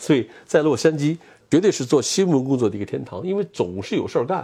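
A man with a fairly high pitch, a dark, mellow tone, very wide pitch swings and a fairly quick pace. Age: 60s. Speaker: TV news cameraman. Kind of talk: interview. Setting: at home.

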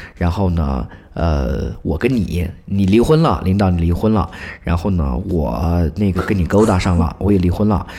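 A man's very deep, low pitch and dark, mellow tone, with lively intonation and very even loudness. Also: moderate pace. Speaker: public institution employee writing news. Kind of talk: casual chat. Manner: animated.

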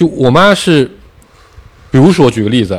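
Vocal fry runs through a man's fairly quick speech, which has very wide pitch swings. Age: 30s. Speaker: podcast co-host. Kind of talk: casual chat.

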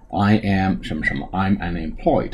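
At a moderate pace, a man talks in a fairly low, somewhat breathy voice with a dark, mellow tone. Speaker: English teacher. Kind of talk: tutorial.

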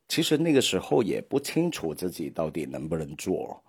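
A man with a Hong Kong accent speaks at a moderate pace in a very deep, low voice, his lively intonation edged with vocal fry. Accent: Hong Kong-accented Mandarin. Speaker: podcast host. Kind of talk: solo podcast monologue. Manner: hesitant, many filler sounds.

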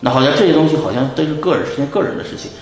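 A very fast-paced man's voice amid noticeable background noise and audible room echo. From China, Shanxi (Pingyao). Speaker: bitcoin investor. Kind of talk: interview.

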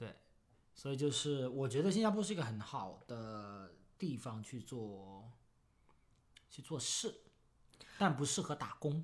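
Speaking at a fairly slow pace with long, frequent pauses, a man at medium pitch makes very wide pitch swings. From Foshan, Guangdong, China. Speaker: crypto podcast co-host. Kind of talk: casual chat.

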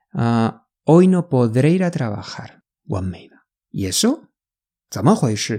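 The voice has a dark, mellow tone and very wide pitch swings, moving at a fairly slow pace with long, frequent pauses. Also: woman, very deep, low pitch for a woman. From Spain. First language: Spanish (speaking Chinese). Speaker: language teacher. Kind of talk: tutorial.

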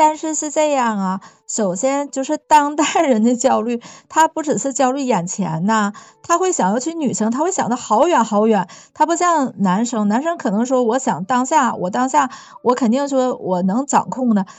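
At a moderate pace, a woman with a slight Northeast Chinese accent speaks in a high pitch with lively intonation. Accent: slight Northeastern Mandarin. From Northeast China. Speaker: podcast guest. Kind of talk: casual chat.

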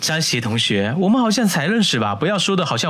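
The voice reads without strain. It sounds unforced from start to finish.

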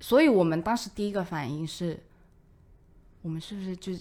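On a very clean recording with a silent background, a woman speaks fairly quickly at a medium pitch with ordinary pitch variation. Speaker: office colleague. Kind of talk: casual chat.

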